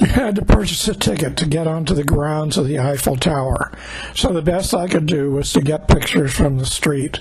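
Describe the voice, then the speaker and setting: Noticeable background noise sits behind a man's fairly high voice. He talks at a fairly quick pace with ordinary pitch variation. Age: 80s+. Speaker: travel vlogger narrating trip video. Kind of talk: scripted narration. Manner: measured, read-aloud pace.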